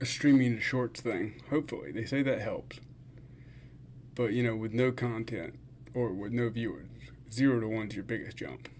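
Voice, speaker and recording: At a moderate pace broken by long, frequent pauses, a man with medium pitch, ordinary pitch variation and vocal fry speaks. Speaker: fasting vlogger and streamer. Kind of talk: casual livestream chat. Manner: slurred words.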